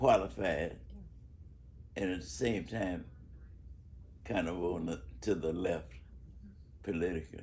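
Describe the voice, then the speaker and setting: Lively intonation and vocal fry mark this man's very deep, low voice, broken by long, frequent pauses. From Chicago, Bronzeville. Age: 80s+. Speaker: civil rights activist and educator. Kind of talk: interview answer. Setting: home.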